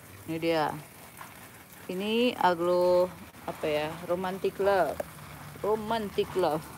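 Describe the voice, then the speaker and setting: Speaking at a very slow pace, a woman uses a medium pitch and fairly even intonation against light background noise. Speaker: plant hobbyist vlogger. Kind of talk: livestream tutorial. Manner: casual, chatty. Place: garden. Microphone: phone near.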